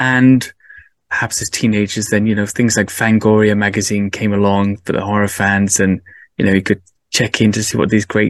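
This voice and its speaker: A man with a Cardiff accent talks at a moderate pace in a fairly low, monotone and flat voice. The sound is dry and close with no echo, against a quiet background. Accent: Welsh (Cardiff). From Wales, Cardiff. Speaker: podcast host. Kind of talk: casual chat.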